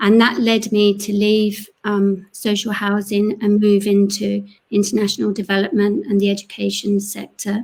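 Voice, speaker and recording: A woman's medium-pitched voice with a London accent, monotone, flat intonation, and a moderate pace. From North London, England. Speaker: panelist, education charity worker. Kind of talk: panel discussion.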